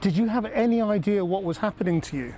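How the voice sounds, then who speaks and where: A man's voice has a dark, mellow tone with ordinary pitch variation. He speaks at a fairly quick pace. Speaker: television journalist. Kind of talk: interview question.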